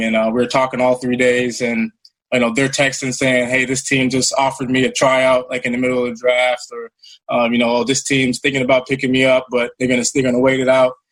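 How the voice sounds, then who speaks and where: Here a man with an American accent talks at a fairly quick pace. His medium-pitched voice keeps a monotone, flat intonation. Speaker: pro football player. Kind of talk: interview. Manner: halting.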